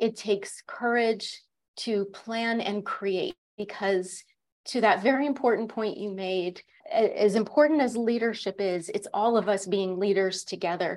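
Very clean recording, silent background: a plain, everyday voice, a woman with an American accent, fairly high pitch, ordinary pitch variation, fairly slow pace. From Connecticut, US. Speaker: leadership coach and executive. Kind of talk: interview.

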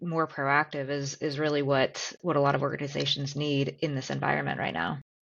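A woman speaks at a moderate pace in a very deep, low voice with vocal fry and fairly even intonation. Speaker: auditor, podcast co-host. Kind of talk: casual interview.

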